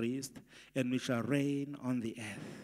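The background stays quiet while a man speaks. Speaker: pastor. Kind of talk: scripture reading in a prayer service. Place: church. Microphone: handheld.

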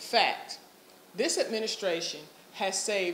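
A woman is speaking in a room with audible echo. Light background noise can be heard. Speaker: candidate. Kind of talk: campaign statement. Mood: firm, rebutting. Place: office. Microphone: phone near.

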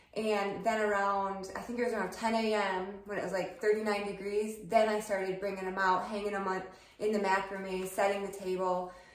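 A woman speaking at a moderate pace in a monotone, flat intonation, with audible room echo. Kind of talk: casual vlog chat. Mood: cheerful, chatty. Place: kitchen.

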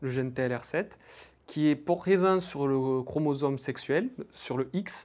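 A plain, everyday voice from a man, fairly high in pitch, with ordinary pitch variation. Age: 20s. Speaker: PhD student researcher. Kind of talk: interview testimony. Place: studio. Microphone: lapel.

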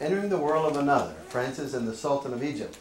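A man speaks in a room with audible echo. Light background noise sits underneath. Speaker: priest presenter. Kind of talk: lecture. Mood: warm, light humor. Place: classroom.

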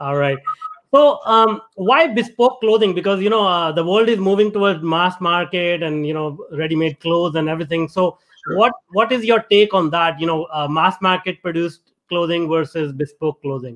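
A man with a high pitch and ordinary pitch variation at a moderate pace, against a quiet background. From India. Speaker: podcast host. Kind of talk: reading guest introduction; interview conversation. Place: home room. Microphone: video call.

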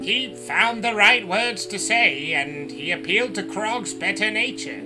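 A fairly high-pitched man speaks at a moderate pace. Clear music sits in the background. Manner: measured, reasonable.

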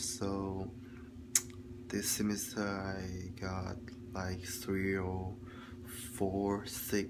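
A man in a Chinese accent, fairly low in pitch, with noticeable background noise. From China. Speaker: student vlogger. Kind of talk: video log monologue, class homework. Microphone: phone near.

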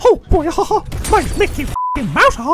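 In an extremely high-pitched put-on character voice with very wide pitch swings, the speaker goes at a moderate pace over clear background noise and sound effects. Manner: cheerful, exuberant.

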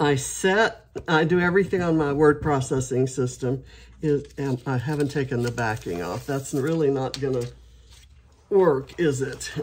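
A woman talks at a moderate pace with a very deep, low pitch and vocal fry. Her intonation is lively. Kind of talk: casual craft tutorial chat. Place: home room.

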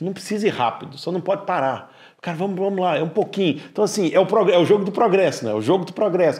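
Against a quiet background, a man talks at a very fast pace with lively intonation and a high pitch. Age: 40s. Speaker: podcast host. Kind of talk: casual interview chat. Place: studio. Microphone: lapel.

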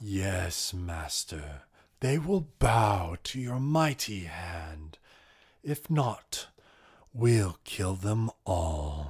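A man uses a put-on character voice. He speaks at a very slow pace. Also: fairly low pitch for a man. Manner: obedient, menacing.

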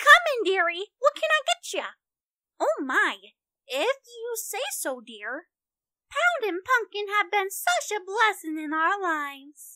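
In a put-on character voice, a female-sounding speaker talks at a fairly slow pace with extremely high pitch. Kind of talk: fan casting call audition. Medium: voice reel. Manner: warm, motherly.

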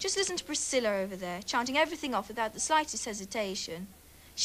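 The reading aloud is done in a natural voice, carried by lively intonation.

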